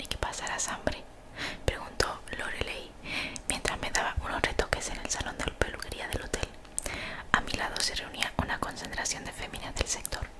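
Over loud background noise, the speech moves at a moderate pace. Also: woman. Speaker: streamer reading a book aloud. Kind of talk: reading a novel aloud with casual asides. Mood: playful, joking asides. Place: home room. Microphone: studio mic.

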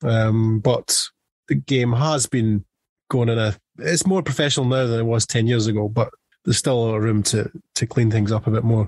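A man with a strong Scottish accent speaks at a medium pitch and very even loudness in a dry, close sound with no echo. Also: ordinary pitch variation, moderate pace. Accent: thick Scottish. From Scotland. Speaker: football journalist. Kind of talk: podcast interview answer.

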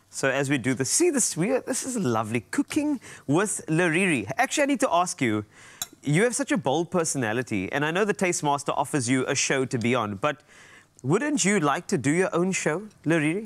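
A man talks at a fairly quick pace with very wide pitch swings and vocal fry. The background is quiet. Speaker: TV show host. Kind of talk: casual interview chat while cooking. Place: studio. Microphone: lapel.

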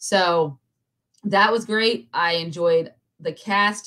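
This is a woman speaking. Her pitch varies an ordinary amount. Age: 30s. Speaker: pop culture podcast host. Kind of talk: casual chat. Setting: livestream. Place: home room.

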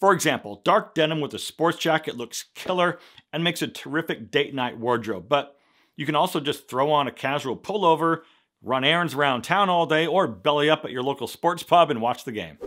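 A man speaks at a fairly quick pace in a fairly high pitch, with ordinary pitch variation. His tone is bright and sharp over a quiet background. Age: 50s. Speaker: men's fashion YouTuber. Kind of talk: vlog-style tutorial to camera. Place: studio.

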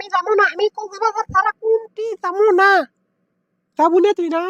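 Using a squeaky, cartoonish character voice at an extremely high pitch, a woman speaks at a moderate pace with fairly even intonation, the sound dry and close with no echo. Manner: haughty, loud.

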